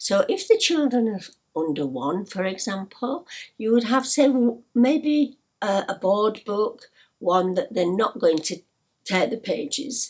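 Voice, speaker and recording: A somewhat breathy woman with a Yorkshire accent, at a fairly slow pace, with very wide pitch swings. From Yorkshire, northern England. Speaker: storytelling teacher for parents. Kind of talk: tutorial. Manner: hesitant, many fillers.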